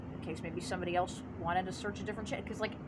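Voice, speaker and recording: A woman speaks at a medium pitch with ordinary pitch variation. Noticeable background noise and audible room echo fill the recording. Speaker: gaming YouTuber. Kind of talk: casual commentary video. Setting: outdoors by basement, natural light. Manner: stuttering, halting at times.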